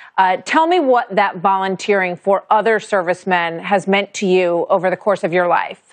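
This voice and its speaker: Against a quiet background, the speech moves at a moderate pace with very even loudness. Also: woman, medium pitch for a woman, ordinary pitch variation, hardly any pauses. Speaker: TV news anchor. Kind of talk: interview question. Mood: warm, respectful. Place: studio.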